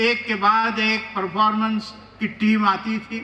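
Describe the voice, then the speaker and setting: A man projects a raised voice at a high pitch. There is noticeable background noise. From rural Maharashtra. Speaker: chief guest speaker. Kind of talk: ceremonial speech. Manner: formal.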